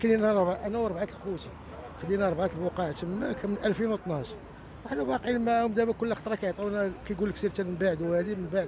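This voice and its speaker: Over noticeable background noise, a man with a high voice talks very fast, the sound dry with no echo. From Morocco. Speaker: protester, emigrant property buyer. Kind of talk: street interview testimony. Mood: aggrieved, demanding justice. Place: street. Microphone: handheld.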